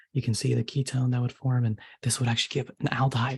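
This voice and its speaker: A soft-spoken, somewhat breathy man at medium pitch, talking at a very fast pace with fairly even intonation. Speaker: chemistry tutor. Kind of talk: tutorial.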